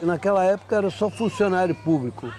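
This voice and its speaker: A man talks in a high register as noticeable background noise carries on around him. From Rio de Janeiro, Brazil. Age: 70s. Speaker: longtime resident of housing complex. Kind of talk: documentary interview.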